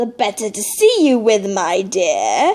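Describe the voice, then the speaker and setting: A put-on character voice at a fairly slow pace, with very wide pitch swings. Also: woman. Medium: read story. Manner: sly, wheedling.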